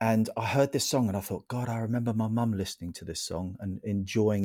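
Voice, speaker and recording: A man speaks at a very fast pace with a southern English accent. His fairly low pitch has a dark, mellow tone and fairly even intonation. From St Albans, Hertfordshire, England. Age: 40s. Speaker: gardener. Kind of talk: casual chat. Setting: radio studio.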